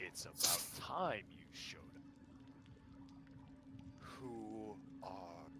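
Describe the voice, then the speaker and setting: Using a rumbling, put-on character voice, a man speaks at a very slow pace with long, frequent pauses over loud background noise. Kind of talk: draconic. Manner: imperious, impatient.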